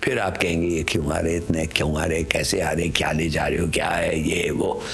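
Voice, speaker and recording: Amid noticeable background noise and audible room echo, a man with a very deep, low pitch speaks at a moderate pace, his loudness very even and his intonation fairly even. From Pakistan (Karachi), born in Bangalore, schooled in London. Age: 80s+. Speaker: retired diplomat. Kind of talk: interview reminiscence. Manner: code-switching Urdu and English.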